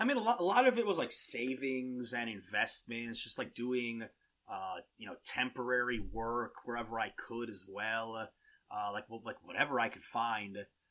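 A man speaks at a moderate pace with medium pitch and a bright, sharp tone. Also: ordinary pitch variation.

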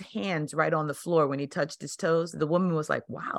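With a quiet background, a woman talks at a fairly quick pace in a fairly low pitch, an ordinary speaking voice. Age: 50s. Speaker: podcast host and life coach. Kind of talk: scripted narration; interview.

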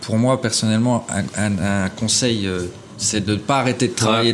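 The speech runs at a fairly quick pace over noticeable background noise. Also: man. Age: 30s. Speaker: property investor. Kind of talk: interview.

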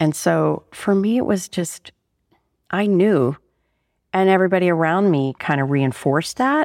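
A woman with an American accent speaks at a moderate pace in a fairly low pitch, with lively intonation and long, frequent pauses. The sound is dry and close with no echo, on a very clean recording with a silent background. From Pittsburgh, Pennsylvania. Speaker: artist. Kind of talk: casual interview. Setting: her studio. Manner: clear.

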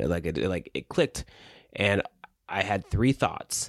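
The sound is dry and close, with no echo, against a quiet background. Vocal fry runs through the voice. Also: man. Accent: American. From US South. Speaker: podcast host and writer. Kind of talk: casual conversational podcast chat. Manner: casual, filler words, hesitant.

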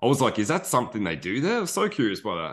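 Against a quiet background, a man speaks with an Australian accent in a bright, sharp tone. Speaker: podcast host. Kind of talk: casual chat.

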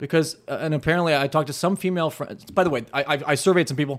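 A man speaks at a very fast pace. His pitch is fairly high, with ordinary variation. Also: very clean recording, silent background. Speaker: podcast host. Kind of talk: casual roundtable chat. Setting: around a table, video recorded.

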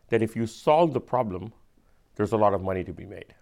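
The recording is very clean, with a silent background. A man speaks at medium pitch and a moderate pace. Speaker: venture capitalist.

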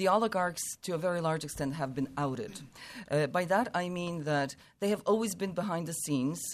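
A woman with an American accent and an ordinary speaking voice talks at a fairly quick pace, with a fairly low pitch and ordinary pitch variation. The recording is very clean, with a silent background. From USA. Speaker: Ukraine expert. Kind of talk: panel discussion.

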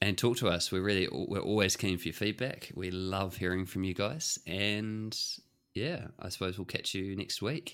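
A man with a New Zealand accent speaks in a very clean recording with a silent background. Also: fairly low pitch for a man, ordinary pitch variation, moderate pace. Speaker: podcast co-host. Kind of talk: casual chat.

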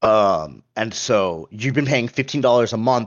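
Speaking at a fairly slow pace, a man with an unremarkable speaking voice uses lively intonation. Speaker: podcast host. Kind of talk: casual chat about gaming news.

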